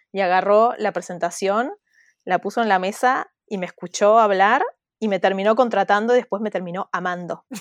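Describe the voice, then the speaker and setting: A woman with a normal speaking voice talks at a moderate pace, her medium pitch carried by fairly even intonation. The sound is dry and close, with no echo. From Argentina, Buenos Aires (teen years in Mexico). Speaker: entrepreneur, community founder. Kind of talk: interview.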